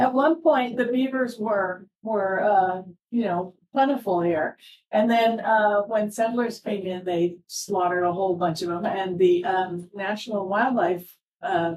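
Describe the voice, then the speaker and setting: At a fairly slow pace, a woman talks in a normal speaking voice with a medium pitch. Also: ordinary pitch variation. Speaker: conservation organization speaker. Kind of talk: public talk Q&A.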